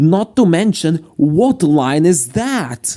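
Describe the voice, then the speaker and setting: Speaking at a very slow pace in a strong Slovak accent, a man has a fairly high pitch, very wide pitch swings, and a dark, mellow tone. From Slovakia. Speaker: YouTuber, train series commentator. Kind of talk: video commentary. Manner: casual, jokey.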